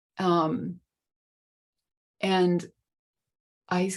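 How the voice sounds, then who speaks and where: Medium pitch from a woman, recorded very cleanly against a silent background. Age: 70s. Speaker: artist asking for marketing advice. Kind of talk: group coaching call question. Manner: halting.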